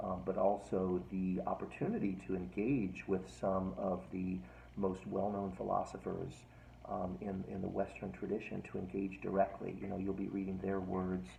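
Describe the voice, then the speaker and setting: A soft-spoken man whispers at a moderate pace with vocal fry. Audible room echo surrounds his voice. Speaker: philosophy professor. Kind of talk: lecture. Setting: at home, recorded video. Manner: soft-spoken, near whisper; halting, many fillers.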